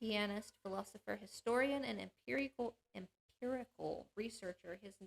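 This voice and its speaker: A woman talks at a moderate pace with hardly any pauses, in a fairly high voice with ordinary pitch variation. The sound is dry and close, with no echo. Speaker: panel show host. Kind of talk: reading aloud. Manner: halting.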